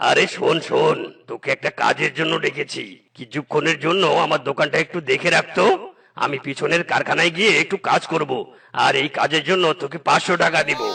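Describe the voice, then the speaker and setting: A man puts on a cartoonish character voice, pitched high and delivered at a moderate speed. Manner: gruff, bossy.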